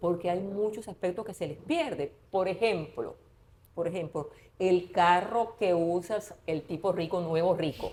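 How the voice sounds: With few pauses, the fairly slow delivery has a dark, mellow tone and a slightly husky edge. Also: woman, fairly low pitch for a woman, ordinary pitch variation.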